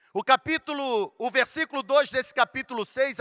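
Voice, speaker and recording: A man's raised, projected voice, extremely high and bright with a sharp edge, at a fairly slow pace in a dry, close recording with no echo. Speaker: pastor. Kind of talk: sermon. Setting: stage with audience.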